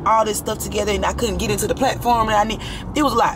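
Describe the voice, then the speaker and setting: A woman's animated, fairly high voice amid noticeable background noise. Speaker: lifestyle vlogger. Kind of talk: casual vlog.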